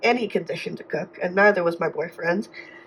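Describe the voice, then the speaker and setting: A woman speaks with a Canadian accent. Noticeable background noise can be heard. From Canada. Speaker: budgeting vlogger. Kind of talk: casual vlog talk.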